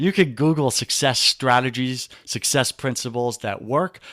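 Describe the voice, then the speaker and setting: In a very clean recording with a silent background, a man with a New York accent talks in an animated tone at medium pitch and a moderate pace. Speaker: men's life coach. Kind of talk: podcast interview.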